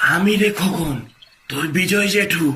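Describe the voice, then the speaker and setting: A man performs a cartoonish character voice. It is raspy and high-pitched. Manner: repetitive, mournful.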